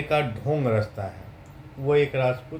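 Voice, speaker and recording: The man's voice is fairly high and somewhat breathy. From Bihar, India. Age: 30s. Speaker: vlogger. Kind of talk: political monologue.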